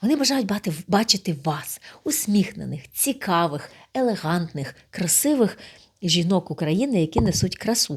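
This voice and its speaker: The woman's voice is somewhat breathy, at a medium pitch. Her pitch swings very widely at a moderate pace. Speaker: speaking club host. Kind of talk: direct address to camera, video appeal.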